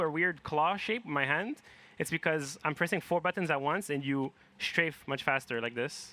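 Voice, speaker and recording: A man with a non-native accent, a bright, sharp tone, and ordinary pitch variation. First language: neither English nor French. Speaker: speedrunner. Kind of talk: live game commentary. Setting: event stage with audience.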